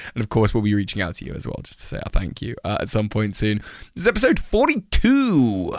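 This man talks at a very fast pace with a British accent. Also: big swings in loudness, very clean recording, silent background. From England. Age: 20s. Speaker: podcast co-host. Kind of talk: casual chat. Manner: theatrical.

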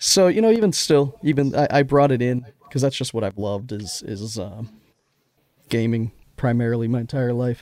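Speaking at a moderate pace, a man has an ordinary speaking voice at medium pitch with ordinary pitch variation. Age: 40s. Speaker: podcast host. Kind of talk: casual chat.

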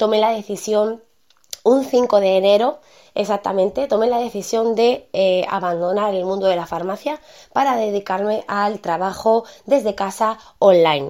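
A woman talks at a fairly slow pace in a medium pitch, her tone dark and mellow, with ordinary pitch variation. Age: 30s. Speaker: podcast host, online marketer. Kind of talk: casual monologue. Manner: hesitant, many fillers.

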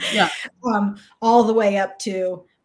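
Delivered at a fairly slow pace with fairly even intonation, it is an unremarkable speaking voice on a very clean recording with a silent background. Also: woman. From Texas, Austin. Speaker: leadership coach. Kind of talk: interview.

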